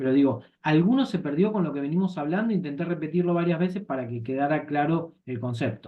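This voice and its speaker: Hardly any pauses interrupt the fairly quick pace of this speech. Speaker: insurance course instructor. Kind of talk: lecture. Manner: fast.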